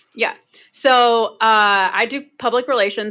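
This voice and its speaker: In a very clean recording with a silent background, a woman with an American accent speaks in a bright, sharp tone and fairly even intonation. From North Carolina. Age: 30s. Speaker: public relations consultant. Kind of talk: podcast interview.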